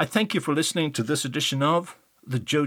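In an Irish accent, a man speaks at a fairly quick pace with a fairly high pitch. The recording is very clean with a silent background. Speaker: journalist and podcast host. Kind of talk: scripted narration.

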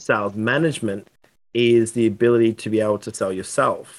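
A man with an Australian accent talks at a medium pitch and a moderate pace. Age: 30s. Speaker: sales consultant. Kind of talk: interview.

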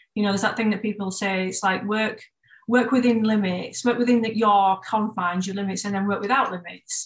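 Talking fairly quickly at a medium pitch, a woman sounds somewhat breathy, her intonation monotone and flat. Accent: Yorkshire. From northern England, Bradford. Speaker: tattoo artist and shop co-owner. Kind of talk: casual chat.

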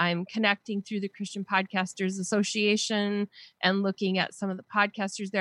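An ordinary speaking voice with an American accent goes at a fairly quick pace, the sound dry and close with no echo against a quiet background. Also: woman. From Wisconsin, US. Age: 50s. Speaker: podcaster and blogger. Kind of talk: casual interview chat.

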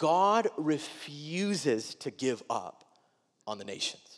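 In a very clean recording with a silent background, a speaker with an American accent talks very slowly, the pitch swinging very widely. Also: man. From Wisconsin, US Midwest. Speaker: pastor. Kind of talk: sermon. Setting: church.

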